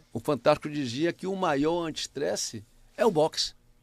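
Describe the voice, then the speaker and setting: The sound is dry and close, with no echo. A man speaks at a fairly slow pace in a fairly high pitch. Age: 60s. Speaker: senior athlete. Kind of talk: casual chat.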